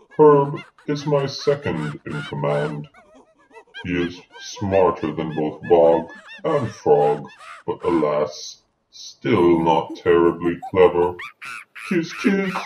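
A woman puts on a character voice with a very deep, low pitch. She speaks at a very slow pace. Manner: formal, pompous.

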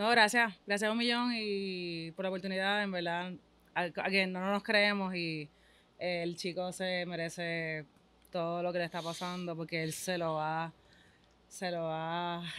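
Delivery comes at a fairly slow pace. The intonation is fairly even. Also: woman, fairly low pitch for a woman. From Puerto Rico. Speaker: mother of a young athlete; interviewee. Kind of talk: casual interview. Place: studio. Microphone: studio mic.

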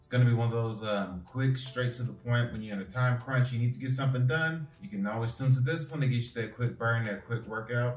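A man speaks with ordinary pitch variation. Audible room echo and faint music sit in the background. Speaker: fitness coach. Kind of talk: workout tutorial. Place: home room. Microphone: camera far.

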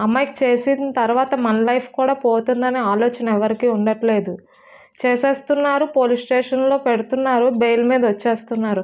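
In a high pitch, a woman talks with monotone, flat intonation and very even loudness. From Andhra Pradesh, Visakhapatnam; Andhra Pradesh, India. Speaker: stabbing survivor. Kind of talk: interview testimony. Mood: distressed, pleading. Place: home room. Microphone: lapel.

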